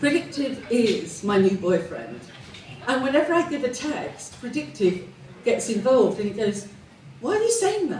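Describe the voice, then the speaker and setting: With audible room echo and noticeable background noise, a woman speaks at a moderate pace in a high voice with very wide pitch swings. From England, Southend area. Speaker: comedian. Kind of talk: stand-up. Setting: stage with audience.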